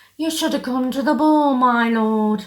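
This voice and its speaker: A woman uses a put-on character voice. Her pitch is high and her pace is moderate. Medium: read story. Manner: sly, smirking.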